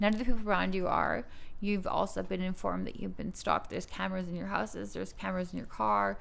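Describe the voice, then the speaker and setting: A woman talks at a very fast pace. Room echo is audible around her voice. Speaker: model. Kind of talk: casual chat. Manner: halting.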